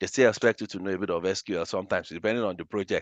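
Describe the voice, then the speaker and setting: A man with a Nigerian accent is heard in a dry, close sound with no echo over a quiet background. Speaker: data analytics trainer. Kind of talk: webinar lecture. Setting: live online webinar. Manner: animated.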